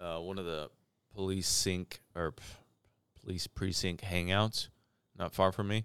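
A man with a Midwestern US accent speaks in a very deep, low voice with flat, monotone intonation at a fairly slow pace. Long, frequent pauses break up his speech, and the sound is dry and close with no echo. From St. Louis, Missouri. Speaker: podcast co-host. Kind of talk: casual chat.

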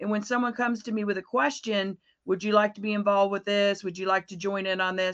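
A woman with an American accent talks at a very fast pace. Her medium-pitched voice keeps a fairly even intonation. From Florida. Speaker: business coach and trainer. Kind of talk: interview.

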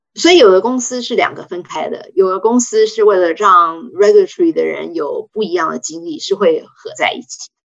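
Her loudness swings a lot as a woman talks at a moderate pace with hardly any pauses. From Taiwan. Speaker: pharmaceutical regulatory affairs executive. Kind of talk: interview.

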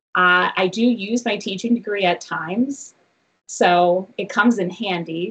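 In a plain, everyday voice, a woman speaks at a fairly slow pace with lively intonation. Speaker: roller coaster company co-owner. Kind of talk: casual interview. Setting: video call.

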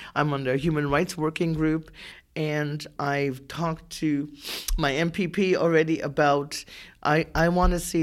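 A woman speaks with a very deep, low pitch and fairly even intonation. The recording is very clean, with a silent background. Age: 60s. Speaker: housing advocate with lived experience. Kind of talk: personal story interview.

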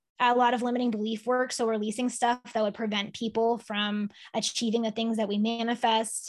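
The speaker uses a plain, everyday voice with an American accent and ordinary pitch variation. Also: woman. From Massachusetts, Boston area (Sharon). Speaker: nutritionist and life coach. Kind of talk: interview.

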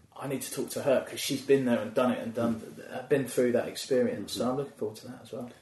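A man's voice at a very fast pace, with big swings in loudness. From England, Milton Keynes area. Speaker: stand-up comedian. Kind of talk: casual chat.

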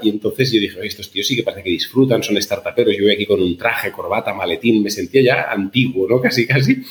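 A man is speaking. His pace is very fast. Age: 40s. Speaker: startup founder and CEO. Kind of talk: interview conversation.

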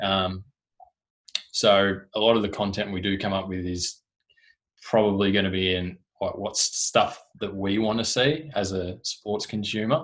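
This man's voice sits fairly low in pitch, and he speaks at a fairly slow pace. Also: ordinary pitch variation. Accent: Australian. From Tasmania, Australia. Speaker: sports club digital communications officer. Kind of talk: casual interview.

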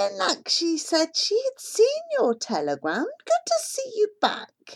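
At a fairly slow pace, a woman puts on a squeaky character voice pitched extremely high. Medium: read story. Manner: warm, friendly.

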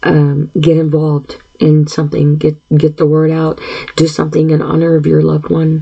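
A woman speaks at a moderate pace in a very deep, low pitch. Her intonation is monotone and flat. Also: very even loudness. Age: 50s. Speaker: podcast host. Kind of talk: solo monologue podcast. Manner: frequent throat clearing and filler words; halting.

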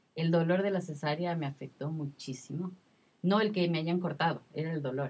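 This woman's voice is very deep and low, delivered at a moderate pace with fairly even intonation. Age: 30s. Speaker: mother sharing postpartum experience. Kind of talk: testimony.

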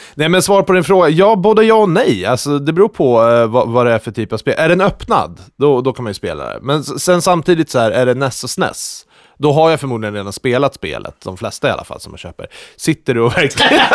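A man at a fairly high pitch and fairly quick pace, with very wide pitch swings and big swings in loudness, in a dry, close sound with no echo. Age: 30s. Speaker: podcast host. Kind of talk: casual chat.

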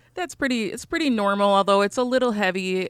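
An unremarkable speaking voice from a woman with an American accent, medium in pitch, fairly quick, with lively intonation, on a very clean recording with a silent background. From Chicago. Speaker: mental health counselor. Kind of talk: interview.

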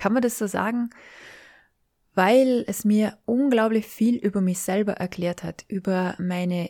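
Speaking very slowly, a woman has a warm tone that is also dark and mellow, on a very clean recording with a silent background. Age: 40s. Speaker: podcast host and life coach. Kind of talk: solo podcast monologue. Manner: warm, informal.

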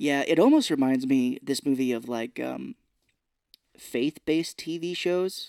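In an American accent and an ordinary speaking voice, a man talks fairly slowly at a fairly high pitch with ordinary pitch variation, the sound dry and close with no echo. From Missouri. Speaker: podcast co-host. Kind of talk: casual chat. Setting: podcast recording with wife.

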